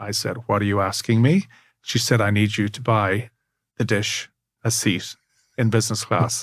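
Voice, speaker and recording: At a moderate pace, a man with a fairly low, somewhat breathy voice speaks with long, frequent pauses on a very clean recording with a silent background. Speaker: auctioneer. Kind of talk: interview answer, anecdote.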